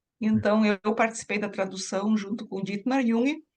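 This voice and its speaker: A woman speaks with a German accent at a fairly slow pace. Her pitch sits fairly high. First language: German (speaking Portuguese). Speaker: psychoanalyst. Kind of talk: interview.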